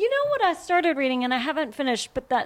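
A woman with an American accent. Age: 30s. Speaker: English professor. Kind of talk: casual chat.

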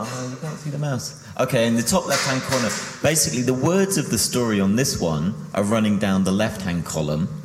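A man talks at a fairly quick pace with very wide pitch swings. Noticeable background noise runs behind him. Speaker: artist and author. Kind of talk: illustrated book talk. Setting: live stage with audience.

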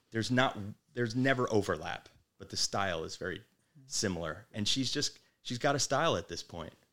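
With a New Jersey accent, a man speaks using ordinary pitch variation. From New Jersey, Manasquan. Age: 40s. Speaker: restaurant owner. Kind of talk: casual interview.

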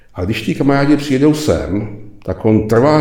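A man talks at a moderate pace with lively intonation, and audible room echo surrounds his voice. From Czech Republic. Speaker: retired executive, leadership lecturer. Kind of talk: interview.

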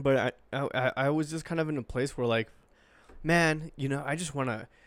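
Very clean recording, silent background, an ordinary speaking voice, fairly even intonation and a moderate pace. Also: man. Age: 20s. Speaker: podcast co-host and producer. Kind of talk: casual chat.

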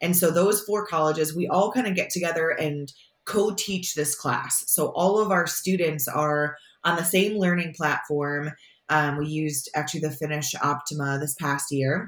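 Speaking with an Upstate New York accent, a woman uses a very deep, low pitch with ordinary pitch variation. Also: moderate pace. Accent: Upstate New York American. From upstate New York, Syracuse. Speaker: sport management professor. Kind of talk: interview.

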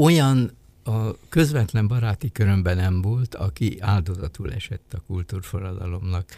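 Somewhat breathy and dark, mellow in tone, a man speaks fairly slowly at a fairly low pitch with lively intonation, in a dry, close sound with no echo. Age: 80s+. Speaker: sinologist and retired diplomat. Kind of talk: interview. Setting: studio.

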